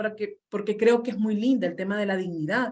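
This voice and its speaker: In a room with audible echo, a woman talks at a very fast pace with fairly even intonation. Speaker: community radio worker. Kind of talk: conference panel talk.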